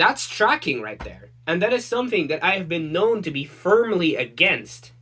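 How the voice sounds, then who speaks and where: The speaker has an American accent. The pace is moderate, with hardly any pauses. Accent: sounds more American than anything. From Netherlands. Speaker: online content creator. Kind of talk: rant. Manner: repetitive stammering restarts.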